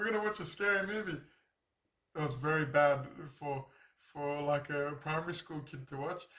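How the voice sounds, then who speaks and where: Using a bright, sharp tone, a man speaks at a fairly high pitch with an Australian accent. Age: 30s. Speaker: YouTuber. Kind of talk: casual monologue. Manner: halting.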